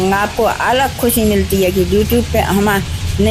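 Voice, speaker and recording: A woman speaks over noticeable background noise. Audible room echo is also present. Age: 70s. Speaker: YouTuber. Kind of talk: vlog. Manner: halting.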